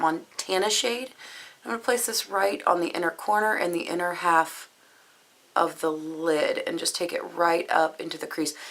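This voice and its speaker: Noticeable background noise accompanies a woman speaking at a moderate pace. Her medium pitch shows ordinary variation. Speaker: beauty vlogger. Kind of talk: tutorial. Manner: casual, chatty.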